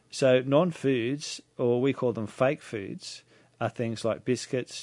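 Against a quiet background, a man with an Australian accent talks at a medium pitch with fairly even intonation. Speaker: naturopath. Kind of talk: radio talk show interview. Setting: radio studio. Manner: halting, filler-heavy.

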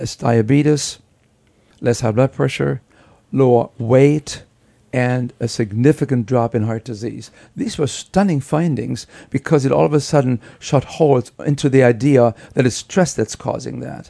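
In a German accent, a man speaks at medium pitch with a dark, mellow tone and ordinary pitch variation, in dry, close sound with no echo. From Germany. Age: 70s. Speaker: professor of preventive medicine. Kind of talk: interview.

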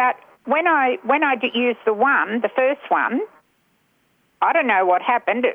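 Her pitch high and her intonation lively, a woman with an Australian accent speaks at a moderate pace, leaving long, frequent pauses. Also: very even loudness. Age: 70s. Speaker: caller. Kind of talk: radio talkback. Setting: phone call.

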